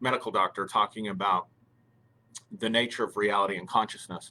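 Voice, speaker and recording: A man's bright, sharp voice, fairly low in pitch, at a fairly quick pace. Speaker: live stream host. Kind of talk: live stream talk. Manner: halting, many fillers.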